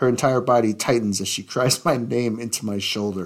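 Fairly even intonation in an unforced reading voice

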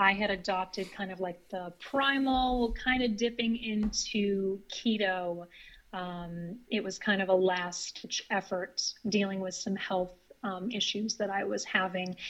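With an American accent and a plain, everyday voice, a woman speaks at a fairly slow pace and medium pitch with fairly even intonation on a very clean recording with a silent background. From US Northeast, northern Maine. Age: 30s. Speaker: vegan guest, certified iridologist. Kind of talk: casual interview.

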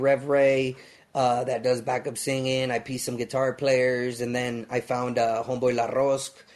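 There is noticeable background noise as a man with an American accent speaks. His pitch is medium, his pace moderate, and his intonation monotone and flat. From Los Angeles, US. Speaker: musician. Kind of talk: casual chat.

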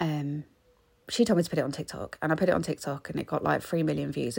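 A woman is speaking. She has an English accent. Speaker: podcaster. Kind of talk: casual chat. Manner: rambling, chatty.

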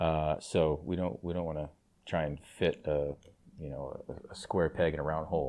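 Monotone, flat intonation marks a man with a very deep, low pitch and a dark, mellow tone who talks at a moderate pace. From Rhode Island. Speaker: retired soccer player and club co-owner. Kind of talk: interview.

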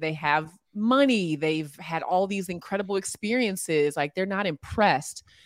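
A woman with a normal speaking voice talks at a moderate pace, her fairly low pitch carried by lively intonation. The recording is very clean with a silent background. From US East Coast, Alexandria, Virginia. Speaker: sports broadcaster and basketball analyst. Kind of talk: interview.

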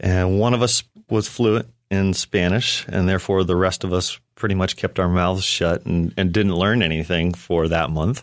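A man's very deep, low voice at a moderate pace, with fairly even intonation and very even loudness, in a very clean recording over a silent background. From Western North Carolina (raised from age ten; born in Orlando). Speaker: DJ and kayaker, music platform founder. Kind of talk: studio interview. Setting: studio.

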